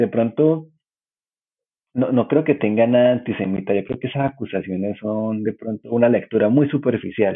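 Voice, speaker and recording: A man's medium-pitched voice, with ordinary pitch variation, proceeds at a moderate pace. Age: 30s. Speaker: cartoonist and journalist. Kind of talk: casual chat.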